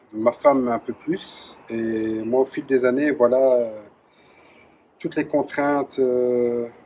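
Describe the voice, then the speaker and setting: A man's medium-pitched voice at a very slow pace, with fairly even intonation, long, frequent pauses and music in the background. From Belgium, Charleroi (Wallonia). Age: 40s. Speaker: former soldier running a creperie. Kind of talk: interview testimony. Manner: hesitant, many fillers.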